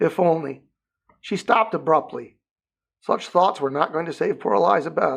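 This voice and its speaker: A man speaks in a put-on character voice, high-pitched and raspy. His delivery moves at a fairly quick pace. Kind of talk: audiobook narration. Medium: read story.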